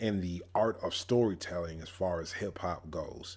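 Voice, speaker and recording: His delivery carries an animated tone. The man's recording is very clean and the background silent. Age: 30s. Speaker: pastor and podcast host. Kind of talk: podcast monologue on Bible interpretation. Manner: casual, animated.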